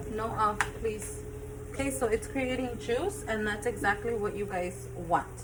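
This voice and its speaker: A woman's voice amid audible room echo and noticeable background noise. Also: fairly slow pace. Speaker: home cooking channel host. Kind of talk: cooking tutorial.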